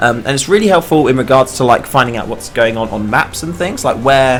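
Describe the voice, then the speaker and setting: Noticeable background noise sits behind a man at medium pitch. He talks at a very fast pace with ordinary pitch variation. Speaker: game developer streamer. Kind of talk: live game stream chat. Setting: live stream. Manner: casual, hesitant with fillers.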